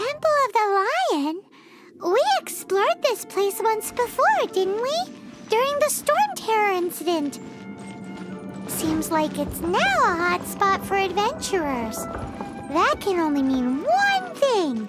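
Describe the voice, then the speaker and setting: In a cartoonish character voice with an extremely high pitch and very wide pitch swings, the speaker goes at a fairly slow pace over loud music in the background. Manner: excitable, blunt.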